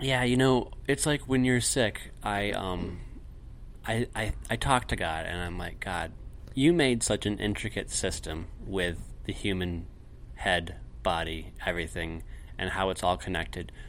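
A plain, everyday voice: a man with fairly low pitch, a fairly slow pace and lively intonation. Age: 30s. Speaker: podcast co-host, father of six. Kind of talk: casual chat.

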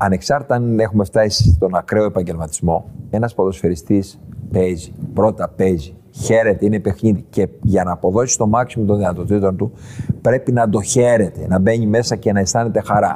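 A man's fairly low voice at a moderate pace, with ordinary pitch variation and very even loudness, over noticeable background noise. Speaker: football club president and former referee. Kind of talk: casual interview. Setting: club premises in Tripoli.

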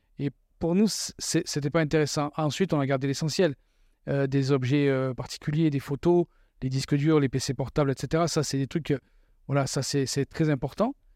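In a very clean recording with a silent background, a man with an ordinary speaking voice speaks at a moderate pace and fairly high pitch, his intonation fairly even. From southern France. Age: 40s. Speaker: former police officer, expatriate father. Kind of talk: casual interview chat.

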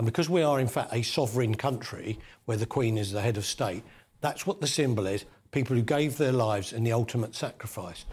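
This man has a medium pitch, ordinary pitch variation and a somewhat breathy sound, speaking at a fairly quick pace. The recording is very clean with a silent background. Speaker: former police detective. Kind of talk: interview discussion. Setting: studio.

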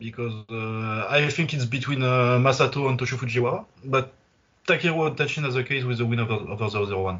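Fairly quick and medium in pitch, a man with a plain, everyday voice shows ordinary pitch variation. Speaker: kickboxing writer and podcaster. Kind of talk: casual chat. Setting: remote call.

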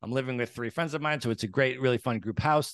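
Against a quiet background, a man speaks in a normal speaking voice. His pitch is medium, with ordinary pitch variation. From United States. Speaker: real estate entrepreneur. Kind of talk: interview.

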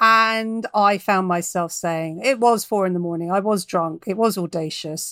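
With a southern English accent, a woman speaks at a moderate pace in a bright, sharp tone, her medium pitch showing ordinary variation. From London. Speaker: novelist. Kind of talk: casual chat.

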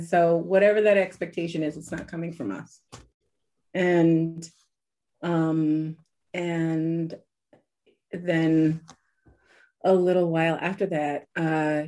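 A woman speaks at a fairly slow pace in a fairly low pitch, with a dark, mellow tone. The background is quiet. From US, New York. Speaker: English teacher, former cult member. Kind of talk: interview testimony.

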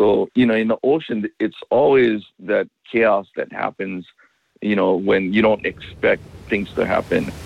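Recorded with a dry, close sound and no echo, a man with a Hawaiian accent speaks at a fairly slow pace. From Makaha, Oahu, Hawaii. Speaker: surfer and ocean safety expert. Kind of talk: interview.

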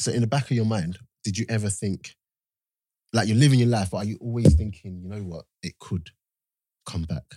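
A man speaks at a fairly quick pace in a dark, mellow, somewhat breathy voice, with ordinary pitch variation and long, frequent pauses. The sound is dry and close, with no echo. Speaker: podcast host. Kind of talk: casual chat. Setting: studio.

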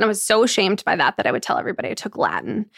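Very fast speech with an American accent, vocal fry and fairly even intonation, in a dry, close sound with no echo. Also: woman. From New York. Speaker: entrepreneur. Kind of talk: casual chat.

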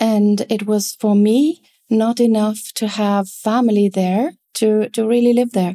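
Recorded dry and close with no echo, a woman speaks at a fairly high pitch in a dark, mellow tone with ordinary pitch variation. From Italy. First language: German and Italian. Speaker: linguist and language consultant. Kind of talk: interview.

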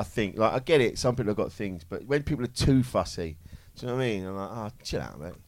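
A man with a British accent speaks at a very fast pace and medium pitch, with lively intonation and big swings in loudness. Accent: regional British. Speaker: comedian, comedy panel show regular. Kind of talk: live comedy panel show banter. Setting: stage with audience. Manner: animated.

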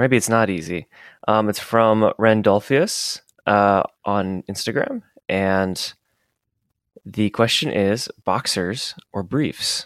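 At a very slow pace with long, frequent pauses, a man with a fairly low pitch and ordinary pitch variation speaks in a dry, close sound with no echo, on a very clean recording with a silent background. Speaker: podcast co-host, writer and director. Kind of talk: casual chat.

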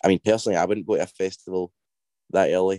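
A man with a Scottish accent speaks very fast in a very deep, low pitch, his tone dark and mellow and his intonation flat and monotone. The sound is dry and close, with no echo. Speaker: indie band singer. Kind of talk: casual interview.

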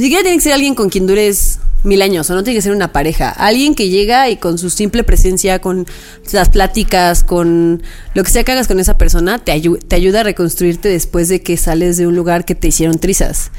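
With a Mexican accent, a woman at a medium pitch speaks at a fairly quick pace with ordinary pitch variation over noticeable background noise. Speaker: podcast co-host. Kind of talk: casual chat.

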